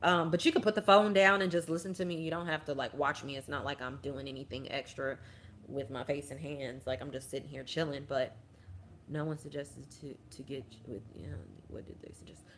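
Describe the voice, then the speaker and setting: A woman's very deep, low voice at a fairly quick pace, with big swings in loudness and ordinary pitch variation. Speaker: army veteran vlogger. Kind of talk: casual livestream chat. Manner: fast.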